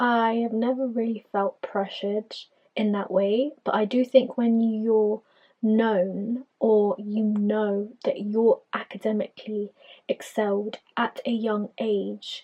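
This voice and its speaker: In an English accent, a woman with a fairly high pitch talks at a very slow pace in a monotone, flat intonation. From England, Filipino immigrant family. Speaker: podcaster. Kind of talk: personal storytelling monologue.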